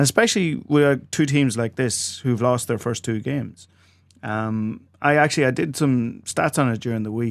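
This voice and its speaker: A man with an Irish accent, moderate pace, quiet background. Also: medium pitch for a man, ordinary pitch variation. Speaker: sports podcast host. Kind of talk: casual chat. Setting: studio.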